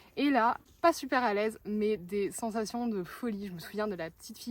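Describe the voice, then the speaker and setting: Her pitch fairly high, a woman talks at a moderate pace, her pitch varying in an ordinary way. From northern France. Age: 20s. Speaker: vlogger. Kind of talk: casual chat. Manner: hesitant, many fillers.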